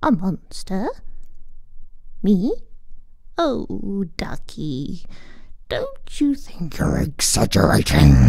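Over light background noise, a woman uses a put-on character voice at a very slow pace, with long, frequent pauses.

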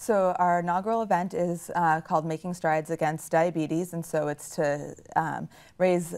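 Against a quiet background, a woman with an ordinary speaking voice, fairly low pitch and fairly even intonation speaks at a fairly quick pace. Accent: American. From Nashua, New Hampshire, US; New Hampshire. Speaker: service club president. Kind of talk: casual interview. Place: studio.

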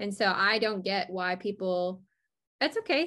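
A woman's fairly bright, medium-pitched voice in an American accent, at a fairly slow pace

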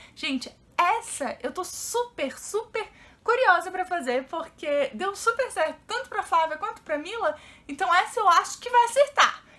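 A woman with an extremely high, bright and sharp voice speaks fairly slowly in a raised, projected way, her pitch swinging very widely. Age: 30s. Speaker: YouTuber; vlogger. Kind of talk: casual vlog. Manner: animated. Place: home room. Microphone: camera far.

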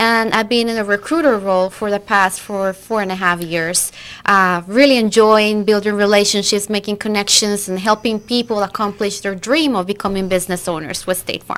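With a Costa Rican accent, a woman talks at a moderate pace with hardly any pauses and fairly even intonation. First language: Spanish. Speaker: recruiter. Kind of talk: interview. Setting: studio. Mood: friendly, upbeat. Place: studio. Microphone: studio mic.

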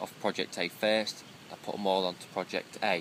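A man's fairly low voice at a moderate pace, dry with no echo, over light background noise. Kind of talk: casual vlog chat. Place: tent. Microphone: phone near.

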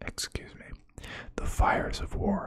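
A very slow, dramatic, theatrical whisper amid noticeable background noise. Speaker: ASMR video creator. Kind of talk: ASMR lore narration, reading aloud. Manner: dramatic, slow and hushed, theatrical reading of grim lore.

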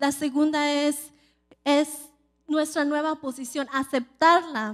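A woman's high voice, fairly slow, monotone and flat, against a quiet background. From California. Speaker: preacher. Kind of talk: sermon. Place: church. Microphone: handheld.

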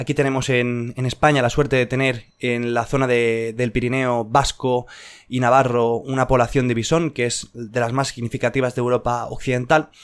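Against a quiet background, a man speaks at a moderate pace with monotone, flat intonation. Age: 20s. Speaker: YouTube educator. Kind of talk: improvised video monologue. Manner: hesitant, many fillers. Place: home room. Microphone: studio mic.

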